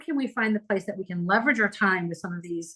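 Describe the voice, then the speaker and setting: A woman speaks in a bright, sharp, animated tone. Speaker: PR and LinkedIn marketing expert. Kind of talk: podcast interview. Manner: fast.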